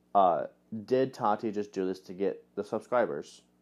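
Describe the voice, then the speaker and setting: Against a quiet background, a man speaks fairly slowly at a fairly low pitch with ordinary pitch variation. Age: 20s. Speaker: podcast host. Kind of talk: casual solo commentary. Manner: halting, many fillers.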